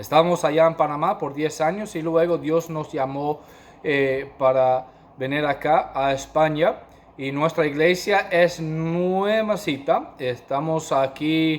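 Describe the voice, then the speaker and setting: With a non-native accent, a man speaks very slowly at a fairly high pitch, using ordinary pitch variation. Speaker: pastor and missionary. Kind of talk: sermon. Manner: halting, many fillers.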